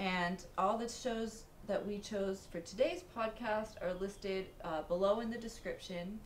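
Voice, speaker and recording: A woman at a medium pitch and a fairly slow pace, with hardly any pauses, audible room echo and noticeable background noise. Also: ordinary pitch variation. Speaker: podcast host. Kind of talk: casual chat. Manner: talks close to the mic, causes clipping.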